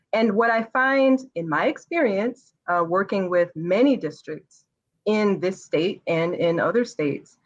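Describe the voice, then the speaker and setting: A woman's ordinary speaking voice with an American accent, medium in pitch, at a fairly slow pace, with lively intonation. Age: 30s. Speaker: educator and business owner. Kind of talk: interview.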